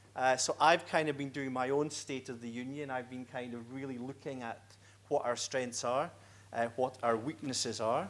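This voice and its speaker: A man in a Scottish accent speaks with fairly even intonation. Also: medium pitch for a man, moderate pace. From Scotland. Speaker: executive director of a right-to-die federation. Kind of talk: conference presentation. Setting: conference stage with audience.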